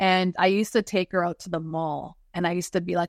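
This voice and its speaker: A woman is recorded against a quiet background, the sound dry and close with no echo. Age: 50s. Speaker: spiritual energy healer. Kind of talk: interview.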